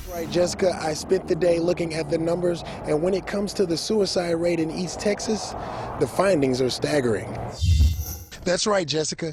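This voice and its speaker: A man with an American accent speaks at a high pitch and a moderate pace. His pitch variation is ordinary, and there is noticeable background noise. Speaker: television news reporter. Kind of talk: broadcast news reporting, live shots and packages.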